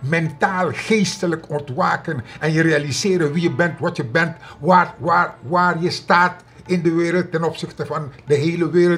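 A man's high voice at a fairly slow pace. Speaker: commentator. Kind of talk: social and political commentary monologue. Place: home room.

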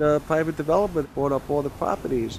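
The speech comes at a fairly quick pace with a Brooklyn accent. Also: man. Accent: New York (Brooklyn). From New York City, Brooklyn. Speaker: tour guide and local historian. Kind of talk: documentary interview.

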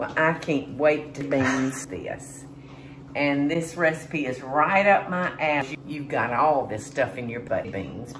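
At a very slow pace, a woman with a very deep, low pitch speaks with ordinary pitch variation over noticeable background noise. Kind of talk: cooking tutorial. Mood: cheerful, chatty. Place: kitchen. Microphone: phone near.

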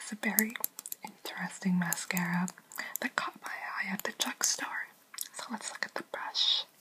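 A woman whispers, leaving long, frequent pauses. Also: moderate pace. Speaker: beauty ASMR creator. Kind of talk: ASMR makeup collection review. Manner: whispered, soft-spoken. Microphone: phone near.

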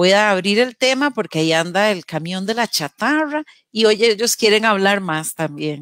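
With lively intonation, a woman speaks at a moderate pace, and the sound is dry with no echo over a quiet background. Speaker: radio program host. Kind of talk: casual talk show discussion. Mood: warm, expressive. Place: home room. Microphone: headset.

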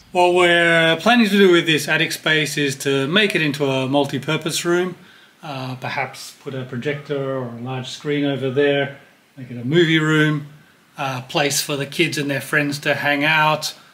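Fairly level intonation from a male speaker at medium speed. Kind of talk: tutorial vlog explanation. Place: home room.

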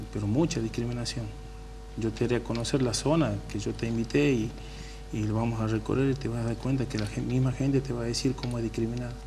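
A man rattles along at a very fast pace while noticeable background noise sits behind him. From Tucumán, northwest Argentina. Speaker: political candidate, community worker; council candidate. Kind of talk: radio interview. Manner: casual. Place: studio.

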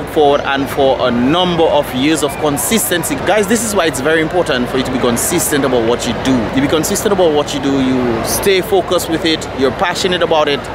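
Very fast, near-pauseless speech from a man, dry with no echo, with ordinary pitch variation and music in the background. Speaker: vlogger. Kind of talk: casual vlog chat. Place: stadium. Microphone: phone near.

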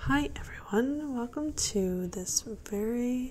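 A soft-spoken voice has a calm, relaxed tone. Light background noise can be heard. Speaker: hobby gardener. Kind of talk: soft-spoken ASMR gardening tutorial to camera. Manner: soft-spoken, calm, relaxed. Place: kitchen. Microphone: phone near.

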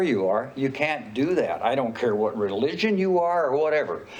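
Noticeable background noise and audible room echo surround this man. He talks at a moderate pace with lively intonation. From northern Idaho. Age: 80s+. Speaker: city council member. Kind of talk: council meeting remarks. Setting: public council meeting with audience. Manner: halting.

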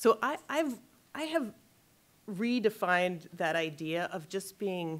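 A woman speaks at a very slow pace, with ordinary pitch variation. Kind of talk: lecture. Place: hall. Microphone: podium.

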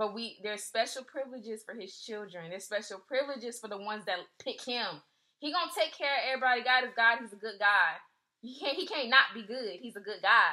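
A woman with an unremarkable speaking voice, fairly quick, with big swings in loudness over a quiet background. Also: fairly high pitch for a woman. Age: 20s. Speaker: faith podcast host. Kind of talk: devotional talk. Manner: casual, filler-heavy. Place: home room. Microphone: phone near.

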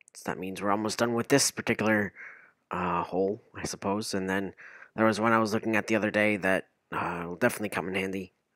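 The recording is very clean, with a silent background and a dry, close sound with no echo. A man talks at a very fast pace in a fairly low, flat monotone. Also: big swings in loudness. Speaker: Minecraft streamer. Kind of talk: casual gaming livestream commentary. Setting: streaming from home with headset and microphone. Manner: filler-heavy, rambling, halting.

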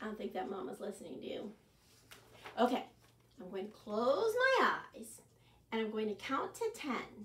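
A woman at medium pitch, with big pitch swings and long, frequent pauses. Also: moderate pace.

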